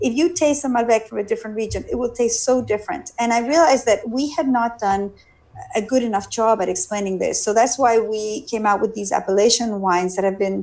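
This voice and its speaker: At a fairly quick pace, a woman with a Spanish accent speaks at a fairly high pitch with ordinary pitch variation. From Argentina. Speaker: winemaker and physician. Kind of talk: interview.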